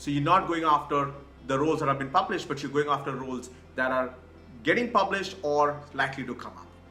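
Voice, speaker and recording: Very fast speech in a South Indian accent, with big swings in loudness, audible room echo, and music in the background. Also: man, ordinary pitch variation. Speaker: career coach. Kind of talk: online course presentation. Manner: repetitive filler 'right'.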